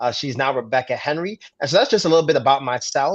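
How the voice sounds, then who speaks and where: With a New York accent, a man speaks at a fairly high pitch with ordinary pitch variation. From Brooklyn, New York. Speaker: pastor. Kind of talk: interview.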